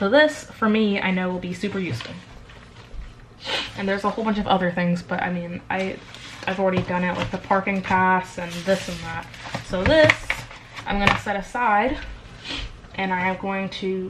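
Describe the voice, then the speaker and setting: Long, frequent pauses mark this woman's speech at a medium pitch with ordinary pitch variation. Noticeable background noise sits behind her. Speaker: vlogger. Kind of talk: casual vlog. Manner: fast.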